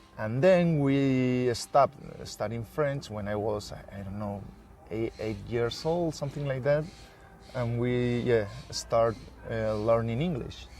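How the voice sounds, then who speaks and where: Over noticeable background noise, a man speaks very slowly at a medium pitch. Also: ordinary pitch variation. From Basque Country, Spain (San Sebastian). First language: Spanish and Basque. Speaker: historian. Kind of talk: interview conversation. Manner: halting, many fillers.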